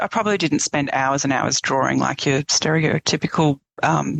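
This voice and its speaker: The voice has an Australian accent and vocal fry. It moves at a moderate pace. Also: woman. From eastern Australia. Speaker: painter. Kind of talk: interview conversation. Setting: podcast interview.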